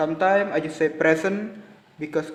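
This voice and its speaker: Speaking at a fairly slow pace, a man uses fairly even intonation and a fairly high pitch. Noticeable background noise runs underneath. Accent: Indonesian. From Indonesia. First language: Indonesian. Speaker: university student. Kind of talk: class presentation. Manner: halting.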